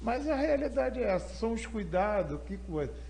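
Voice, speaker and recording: Audible room echo can be heard in this recording. The voice belongs to a man. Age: 70s. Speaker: church elder, prostate cancer survivor. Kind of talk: interview testimony. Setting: live online broadcast.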